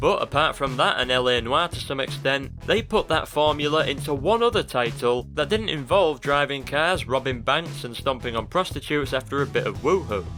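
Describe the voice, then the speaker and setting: A man talks with hardly any pauses. Music plays in the background. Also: fairly high pitch for a man, ordinary pitch variation, moderate pace. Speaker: gaming video essayist. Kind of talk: game retrospective commentary.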